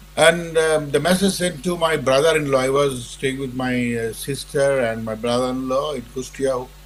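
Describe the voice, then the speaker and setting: A man's medium-pitched voice at a moderate pace, hardly any pauses, ordinary pitch variation, noticeable background noise. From Bangladesh. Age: 70s. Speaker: war veteran. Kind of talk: interview. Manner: halting.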